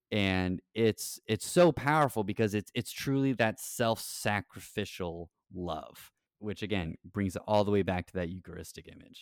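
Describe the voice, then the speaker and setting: A normal speaking voice comes at a moderate pace with ordinary pitch variation, in a very clean recording with a silent background and a dry, close sound with no echo. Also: man, fairly low pitch for a man. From Texas, Rio Grande Valley. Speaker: parish evangelization director and podcast co-host. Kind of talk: casual interview about scripture.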